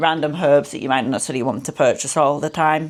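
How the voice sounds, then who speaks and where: A woman's voice, very deep and low in pitch. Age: 30s. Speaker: food vlogger. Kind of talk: cooking tutorial. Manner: casual, chatty.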